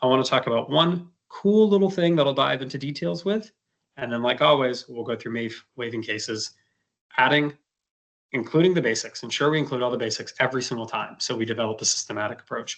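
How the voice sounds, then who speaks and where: At a very fast pace, a man speaks at medium pitch with lively intonation. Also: quiet background. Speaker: medical educator. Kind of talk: lecture.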